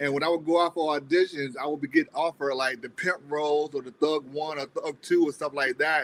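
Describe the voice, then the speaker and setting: Hardly pausing, a man talks at a fairly quick pace with a fairly high pitch, fairly even intonation and big swings in loudness. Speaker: independent filmmaker. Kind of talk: interview. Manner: fast.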